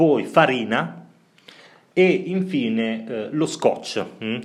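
Very slowly, a man speaks with long, frequent pauses. His pitch swings very widely. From Italy, Bologna. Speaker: podcast co-host. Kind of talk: casual chat.

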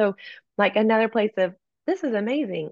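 With an American accent and some vocal fry, a woman speaks at a medium pitch. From East Texas. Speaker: worship leader and author. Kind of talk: interview conversation. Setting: video call.

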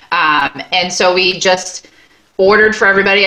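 With an American accent, a woman speaks against noticeable background noise. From Long Island, New York. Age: 40s. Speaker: dance studio owner. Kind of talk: casual interview.

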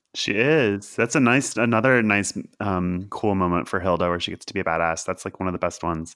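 A man talks fairly quickly with an American accent and a fairly low pitch. His is an unremarkable speaking voice with ordinary pitch variation. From Kentucky, then Philadelphia. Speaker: TV writer. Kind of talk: casual chat.

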